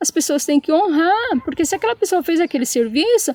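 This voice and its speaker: In a São Paulo accent, a woman speaks at a fairly quick pace with an animated tone, the sound dry and close with no echo. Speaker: channel co-host with husband. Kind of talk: casual chat, personal story. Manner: animated, emotional.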